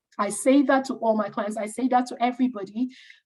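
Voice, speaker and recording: A somewhat breathy woman. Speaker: career coach. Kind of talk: online masterclass presentation. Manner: fast.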